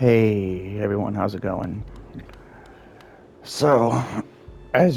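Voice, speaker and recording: Man's voice with ordinary pitch variation amid noticeable background noise. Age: 30s. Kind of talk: casual gaming commentary.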